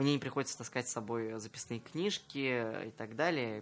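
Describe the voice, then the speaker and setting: An ordinary speaking voice: a man at a medium pitch with ordinary pitch variation and a moderate pace. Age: 20s. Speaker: entrepreneur and psychologist. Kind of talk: radio interview. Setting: radio studio.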